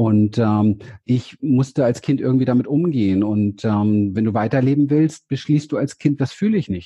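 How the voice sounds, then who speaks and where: A man speaks in a plain, everyday voice at a medium pitch. His pace is moderate and his pitch variation ordinary. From Berlin, Germany. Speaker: therapist and seminar leader. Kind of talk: interview. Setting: video call, standing.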